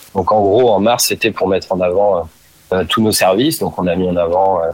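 A man is talking. His voice sits very deep and low. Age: 30s. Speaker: store manager. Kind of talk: interview. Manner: halting.

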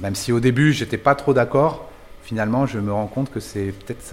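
Ordinary pitch movement in a man's speech, captured on a very clean recording against a silent background. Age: 50s. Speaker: bicycle saddle maker. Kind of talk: interview. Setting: workshop. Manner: halting, many hesitations.

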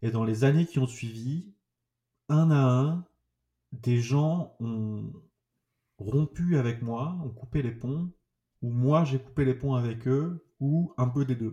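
At a very slow pace, a man speaks in a dark, mellow, somewhat breathy tone at medium pitch with ordinary pitch variation and long, frequent pauses. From southern France, Toulouse. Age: 30s. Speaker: trauma survivor giving testimony. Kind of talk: personal testimony. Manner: halting, repetitive.

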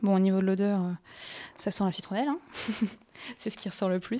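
A woman speaks at a medium pitch with a dark, mellow tone. The sound is dry and close with no echo, on a very clean recording with a silent background. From northern France, Lille. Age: 20s. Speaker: natural cosmetics workshop entrepreneur. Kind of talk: interview; tutorial. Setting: kitchen.

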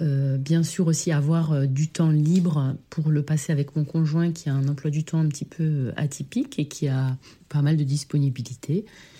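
Slow-paced at a fairly slow rate, a woman speaks with a very deep, low pitch and a dark, mellow tone, somewhat breathy, with fairly even intonation and very even loudness. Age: 30s. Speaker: primary school teacher. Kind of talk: testimony.

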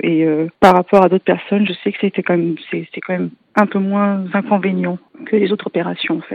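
A woman talks at a medium pitch and a fairly quick pace. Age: 30s. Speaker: patient with a genetic disease. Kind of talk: testimony. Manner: halting.

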